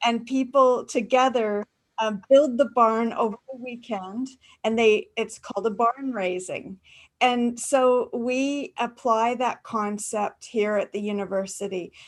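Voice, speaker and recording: Here a woman has an unremarkable speaking voice with a Canadian accent and a fairly high pitch. She speaks at a fairly slow pace with fairly even intonation. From Canada, rural farming area. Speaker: university academic presenter. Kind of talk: webinar panel answer. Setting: video call.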